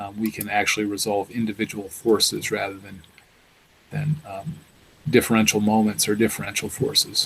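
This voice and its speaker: A man's ordinary speaking voice, fairly low in pitch, at a moderate pace, with ordinary pitch variation and big swings in loudness. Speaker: professor. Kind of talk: lecture.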